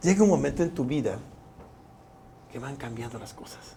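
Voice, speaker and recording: A man speaks with lively intonation while room echo is audible around him. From Mexico, Chiapas (Tuxtla Gutiérrez). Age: 60s. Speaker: politician and physician. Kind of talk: interview.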